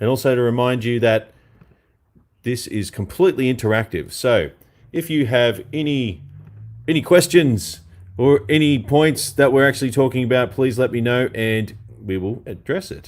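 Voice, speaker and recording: The speaker, with an Australian accent, goes at a moderate pace with ordinary pitch variation. Long, frequent pauses break up the speech. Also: man, medium pitch for a man. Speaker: guitarist and online show host. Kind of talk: live stream chat.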